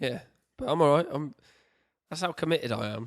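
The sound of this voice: Hoarse and fairly high, a man's put-on character voice moves at a fairly quick pace with lively intonation.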